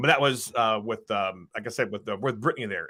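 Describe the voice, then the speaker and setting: On a very clean recording with a silent background, a man speaks at a fairly quick pace with vocal fry and a bright, sharp tone. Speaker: comic book creator. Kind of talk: interview. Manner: fast.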